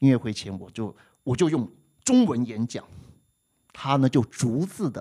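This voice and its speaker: A man at a fairly slow pace, dark and mellow in tone, with long, frequent pauses. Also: medium pitch for a man, lively intonation, big swings in loudness. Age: 60s. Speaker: music teacher and podcast co-host. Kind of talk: casual chat. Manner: clear, precise articulation.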